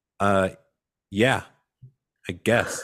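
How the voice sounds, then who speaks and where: A man puts on a character voice, raspy and at a fairly low pitch. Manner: rude, dismissive.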